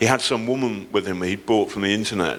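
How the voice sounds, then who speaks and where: A man's voice over noticeable background noise. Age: 60s. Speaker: investigative journalist. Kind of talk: panel discussion. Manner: animated.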